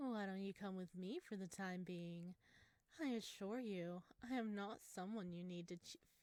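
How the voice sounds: Ordinary pitch variation runs through the delivery. It is a natural reading voice.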